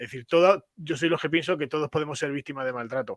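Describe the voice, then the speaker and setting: In a bright, sharp tone, a man speaks with ordinary pitch variation. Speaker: father's rights activist. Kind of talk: panel discussion. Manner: halting.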